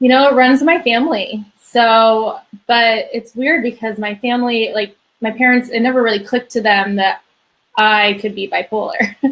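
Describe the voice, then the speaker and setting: A woman's fairly high voice at a moderate pace with ordinary pitch variation. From US Pacific Northwest, Bellevue, Washington. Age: 20s. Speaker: mental health advocate and writer. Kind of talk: interview testimony. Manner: halting, many fillers.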